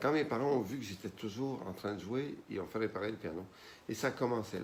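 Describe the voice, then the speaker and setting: This man has a normal speaking voice. His pace is moderate, and his pitch variation is ordinary. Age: 60s. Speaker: pianist and composer. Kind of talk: interview.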